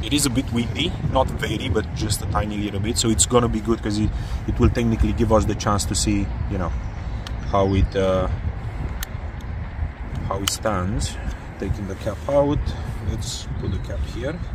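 Long, frequent pauses break up a man's speech, recorded dry with no echo but with noticeable background noise. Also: moderate pace. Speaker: drone reviewer. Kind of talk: tutorial. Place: street. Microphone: phone near.

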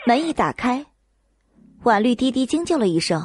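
Her voice has a slightly husky edge as this woman speaks at a fairly high pitch with big pitch swings and a moderate pace.

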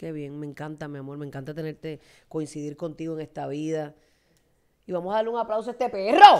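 A woman speaks in an animated tone at a very fast pace with lively intonation. Her pitch is very deep and low. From Puerto Rico, Fajardo; Puerto Rico. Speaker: talk show host. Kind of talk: interview. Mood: warm, empathetic. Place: studio. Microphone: studio mic.

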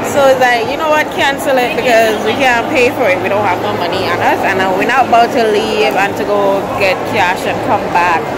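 Through loud background noise, a woman speaks at a moderate pace with hardly any pauses. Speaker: vlogger. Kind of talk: casual vlog chat. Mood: annoyed, storytelling. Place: market. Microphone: phone near.

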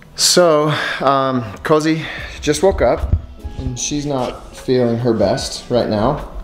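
A man speaking very slowly, with audible room echo and faint music in the background. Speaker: family vlogger. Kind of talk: casual vlog chat. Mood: worried, subdued. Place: home room. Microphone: phone near.

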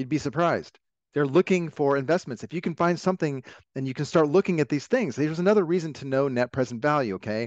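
A man with an American accent talks at a very fast pace in a fairly high voice with lively intonation, the sound dry and echo-free over a quiet background. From living in Florida. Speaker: webinar host, business consultant. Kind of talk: casual, conversational. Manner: fast talker. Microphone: headset.

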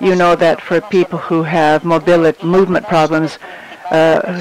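Noticeable background noise behind speech of fairly even intonation. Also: man. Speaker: conference interpreter. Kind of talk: simultaneous interpretation of a conference talk. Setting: conference hall with audience. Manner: halting.

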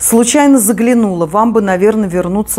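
Pitch variation is ordinary here. The voice belongs to a woman. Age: 50s. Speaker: knitting video blogger. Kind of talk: casual chat; tutorial. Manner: conversational with hesitations. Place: home room.

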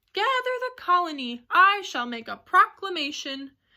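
A woman's put-on character voice, raised and projected, at an extremely high pitch with very wide pitch swings and a moderate pace. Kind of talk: regal. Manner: heroic.

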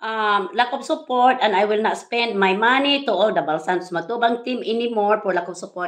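A fairly quick pace over a quiet background. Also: woman. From Philippines. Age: 60s. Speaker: vlogger. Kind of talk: live stream rant. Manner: animated. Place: home room. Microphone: phone near.

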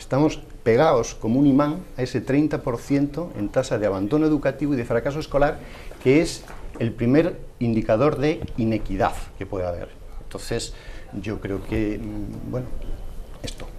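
A man's medium-pitched voice with ordinary pitch variation, long, frequent pauses and light background noise. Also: moderate pace. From Spain, Puertollano; Spain. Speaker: education magazine editor; panelist. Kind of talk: televised debate. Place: studio. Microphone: lapel.

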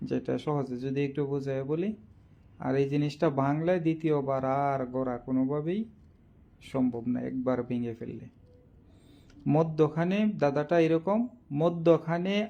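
A man speaks in a fairly high voice with ordinary pitch variation. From Bangladesh, Kishoreganj district. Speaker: social media quiz host. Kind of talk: casual live stream talk. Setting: live video stream. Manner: halting.

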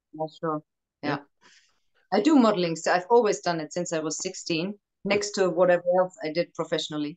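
A woman with a German accent, fairly low in pitch, at a fairly quick pace broken by long, frequent pauses. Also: ordinary pitch variation, quiet background. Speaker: actress. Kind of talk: casual chat. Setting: video call. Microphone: video call.

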